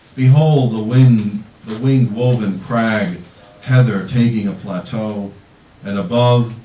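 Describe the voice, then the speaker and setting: The voice moves at a fairly slow pace with ordinary pitch variation. Noticeable background noise runs underneath. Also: man, medium pitch for a man. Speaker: poet. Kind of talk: poetry reading. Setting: bookstore reading, live audience.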